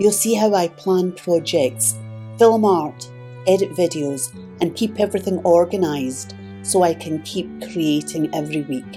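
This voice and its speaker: This woman speaks at a fairly slow pace in a very deep, low voice with very wide pitch swings, music playing in the background. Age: 70s. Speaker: artist and YouTube art tutorial creator. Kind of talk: casual talk to camera, channel journey explanation.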